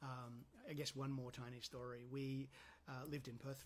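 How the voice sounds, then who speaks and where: A man speaks in a somewhat breathy voice. Its pitch is medium. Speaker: counsellor. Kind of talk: casual talk to camera. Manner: hesitant with many ums.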